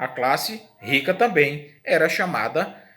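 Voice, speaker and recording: In a Brazilian accent, a man speaks with a bright, sharp tone and very wide pitch swings. Audible room echo surrounds his voice. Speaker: history teacher. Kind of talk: lecture.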